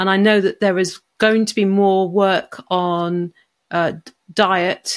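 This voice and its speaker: A woman speaks in a British accent at a medium pitch. The recording is very clean, with a silent background. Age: 50s. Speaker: coaching psychologist. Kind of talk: interview conversation.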